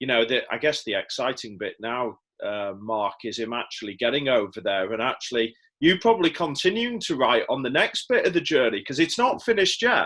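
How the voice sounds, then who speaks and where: A man with an English accent at a fairly quick pace against a quiet background. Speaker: podcast host. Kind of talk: interview conversation.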